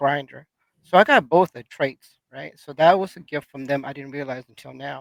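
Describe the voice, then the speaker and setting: A man at a moderate pace, with big swings in loudness, ordinary pitch variation and a dry, close sound with no echo. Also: fairly high pitch for a man. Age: 60s. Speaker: community podcast panelist. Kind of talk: casual group discussion. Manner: halting, many repeated words.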